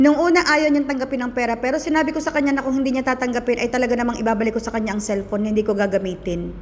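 A woman's high voice, animated and very fast with hardly any pauses, over noticeable background noise. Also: ordinary pitch variation. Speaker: vlogger. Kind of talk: casual storytelling vlog.

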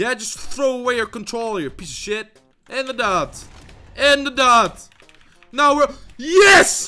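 A man shouting in a raised, projected voice at an extremely high pitch, with lively intonation, big swings in loudness, a fairly slow pace and long, frequent pauses, music in the background. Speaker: gaming YouTuber. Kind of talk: gameplay commentary. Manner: loud, shouting; animated.

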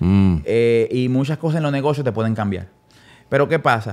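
A man talks in a normal speaking voice at medium pitch. His pace is moderate. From Dominican Republic, San Pedro de Macorís. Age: 30s. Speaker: music producer. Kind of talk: casual interview.

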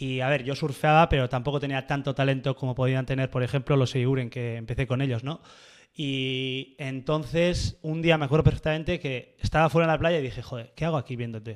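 A man speaks fairly quickly, his intonation fairly even, with a quiet background. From Basque Country, Oyarzun; Basque Country. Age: 20s. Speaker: surf photographer; podcast guest. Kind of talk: casual interview chat. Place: studio. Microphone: studio mic.

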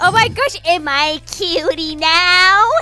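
Putting on a character voice with extremely high pitch, a woman speaks at a fairly slow pace over clear background noise. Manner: creepy, evil.

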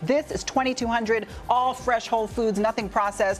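Over faint background music, a woman talks at a fairly slow pace. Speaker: TV presenter. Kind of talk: news segment presenting. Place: studio.

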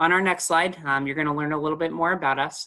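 A man's very fast speech with fairly even intonation over a quiet background. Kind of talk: presentation to prospective students. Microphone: webcam.

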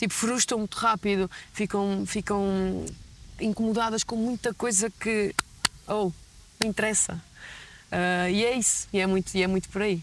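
Over light background noise, a woman at medium pitch talks at a fairly slow pace in a flat monotone, with very even loudness, long and frequent pauses, and a dry sound with no echo. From Portugal, Gafanha da Nazaré (Aveiro); Portugal. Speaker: basketball player; interviewee. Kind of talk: interview. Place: street. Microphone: lapel.

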